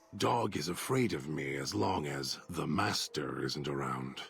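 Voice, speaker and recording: In a put-on character voice, a man talks at a fairly slow pace with a very deep, low pitch. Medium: video game. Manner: menacing, articulate, resentful.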